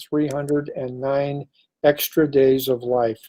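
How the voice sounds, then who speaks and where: This man speaks with an American accent in a fairly high pitch, his tone dark and mellow. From California, Bay Area and Santa Cruz. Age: 70s. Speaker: retired police officer, near-death experiencer. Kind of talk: interview testimony.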